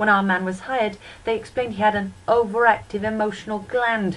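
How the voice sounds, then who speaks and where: Over noticeable background noise, a woman speaks at a fairly quick pace in a fairly high voice with ordinary pitch variation. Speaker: poet. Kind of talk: poetry reading.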